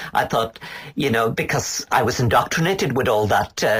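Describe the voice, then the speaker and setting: Here a man with an Irish accent talks at a moderate pace. Noticeable background noise can be heard. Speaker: poet. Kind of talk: interview. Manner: halting, hesitant.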